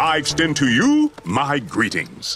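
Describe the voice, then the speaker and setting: A man puts on a character voice, pitched fairly high. He speaks at a fairly slow pace. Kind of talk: formal, regal. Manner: super serious.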